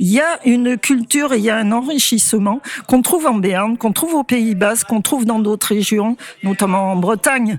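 A woman with a fairly high pitch talks at a moderate pace against noticeable background noise. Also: ordinary pitch variation, very even loudness. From Anjou, western France. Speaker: choir workshop member. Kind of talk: interview.

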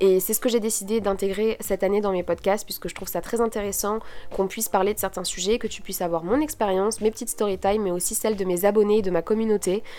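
Speaking very fast with hardly any pauses, a woman has a medium pitch and a dark, mellow tone. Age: 20s. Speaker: podcaster and student. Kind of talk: solo podcast monologue. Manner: casual, many fillers.

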